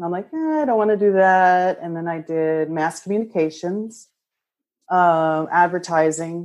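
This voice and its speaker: Speaking slowly with an American accent, a woman has a fairly low pitch, heard over a quiet background. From central Pennsylvania, Lancaster County. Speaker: artist. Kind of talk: casual chat. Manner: animated.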